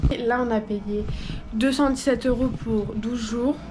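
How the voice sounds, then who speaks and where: A fairly high-pitched woman's voice amid noticeable background noise and audible room echo. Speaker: travel vlogger. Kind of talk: vlog narration. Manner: casual, filler-heavy.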